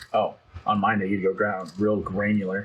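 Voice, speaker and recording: A man's flat monotone at a fairly quick pace. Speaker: tech channel co-host. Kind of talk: casual chat. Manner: soft-spoken at times; fast.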